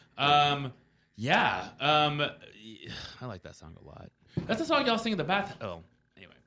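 A man talks at a moderate pace with very wide pitch swings, big swings in loudness, and long, frequent pauses. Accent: American. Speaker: radio host. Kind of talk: casual chat. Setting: studio.

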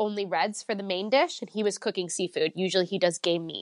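Recorded dry and close with no echo against a quiet background, the speaker talks in an Ontario accent. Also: woman. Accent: Canadian (Ontario). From Canada, Woodbridge near Toronto. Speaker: sommelier. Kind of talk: interview.

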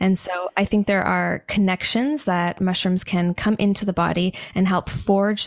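A woman with a Canadian accent speaks in a normal speaking voice at medium pitch and a moderate pace. Her intonation stays fairly even, and the sound is dry and close with no echo. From Canada. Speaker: mushroom supplement company founder, holistic nutritionist. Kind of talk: casual interview.

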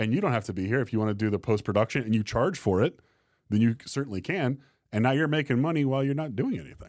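With an American accent, a man talks at a very fast pace at a medium pitch with lively intonation. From Arizona. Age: 40s. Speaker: entrepreneur and business coach. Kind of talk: casual interview chat. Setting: in-person studio.

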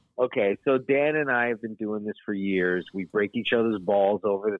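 A man talks at a moderate pace in a normal speaking voice. His pitch is fairly low, with ordinary pitch variation. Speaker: friend of the host. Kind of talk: casual chat. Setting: phone call.

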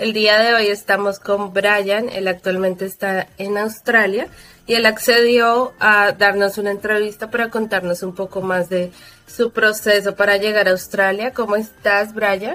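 Music plays in the background as a woman speaks at a medium pitch. Her pace is fairly slow and her intonation monotone and flat. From Colombia, Bogotá. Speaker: podcast host, advertising professional. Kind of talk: casual interview.

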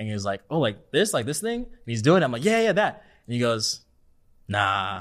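On a very clean recording with a silent background, a man with an American accent uses a normal speaking voice at medium pitch and a moderate pace, with lively intonation. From California. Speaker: dance choreographer. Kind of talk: casual chat.

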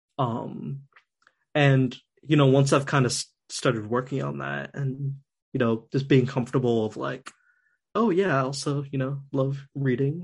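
A somewhat breathy man with an American accent, medium pitch, ordinary pitch variation, a fairly slow pace and long, frequent pauses. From US Northeast. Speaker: designer. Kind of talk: casual chat.

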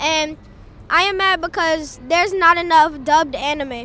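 In an American accent, the speaker talks at a fairly slow pace with a bright, sharp tone and ordinary pitch variation.

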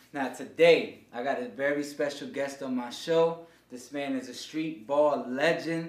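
A speaker with an American accent talks at a fairly slow pace with big swings in loudness and audible room echo. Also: man, fairly high pitch for a man, ordinary pitch variation. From New York (Harlem). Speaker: podcast host. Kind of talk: casual interview chat.

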